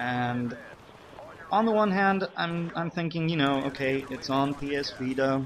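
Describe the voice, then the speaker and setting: A man speaks at a fairly slow pace with a fairly high pitch and ordinary pitch variation. Noticeable background noise sits behind him. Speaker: gaming commentator. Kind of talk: game commentary monologue. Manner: unexcited, sounds bored.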